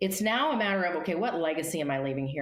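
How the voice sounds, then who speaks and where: A woman's very deep, low voice with audible room echo. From US, Colorado (Denver). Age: 60s. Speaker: life coach and speaker. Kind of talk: interview.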